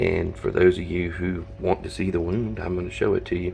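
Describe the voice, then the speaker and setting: A man speaks quietly at a moderate pace, his pitch very deep and low. Noticeable background noise sits behind him. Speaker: reptile and reef hobbyist YouTuber. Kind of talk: casual vlog. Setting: at home at night. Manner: quiet, hushed; hesitant, many fillers.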